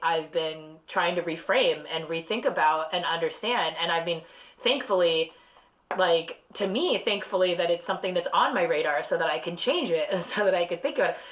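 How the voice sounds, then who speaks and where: Noticeable background noise sits behind a woman who speaks with an American accent at a moderate pace and a fairly low pitch, with ordinary pitch variation. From Southern California. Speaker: endocannabinoid researcher and science communicator. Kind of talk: podcast conversation. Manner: halting, self-correcting.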